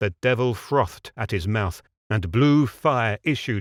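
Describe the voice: A quiet background behind plain reading aloud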